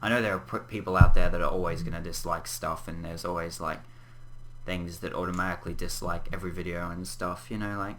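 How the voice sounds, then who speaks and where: A man with an Australian accent speaks at a very fast pace in a very deep, low pitch with fairly even intonation, amid audible room echo. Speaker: gaming YouTuber. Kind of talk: casual vlog update. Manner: halting, stumbles on words; frequent throat clearing.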